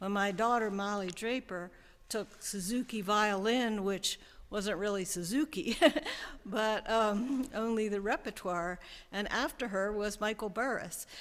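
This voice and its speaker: In a very clean recording with a silent background, a woman of medium pitch speaks at a very slow pace with ordinary pitch variation. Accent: American. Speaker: music school co-founder. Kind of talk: speech at press conference. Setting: church press conference with audience. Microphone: close to the mic.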